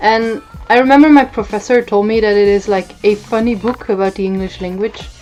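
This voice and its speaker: With a Dutch accent, a woman speaks in a relaxed tone at a fairly high pitch and a fairly quick pace. Her intonation is fairly even, and music plays in the background. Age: 20s. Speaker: book vlogger, former literature student. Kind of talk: casual chat.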